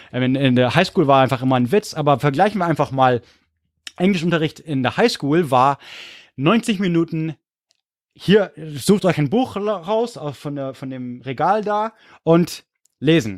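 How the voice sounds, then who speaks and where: The speech moves at a fairly slow pace with long, frequent pauses and lively intonation. The recording is very clean with a silent background. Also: man, fairly high pitch for a man. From California and Munich, Germany. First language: English (speaking German). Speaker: history podcaster. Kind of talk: casual chat. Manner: animated.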